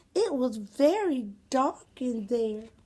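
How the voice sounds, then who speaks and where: A woman uses a put-on character voice pitched high. Her intonation is lively. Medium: read story.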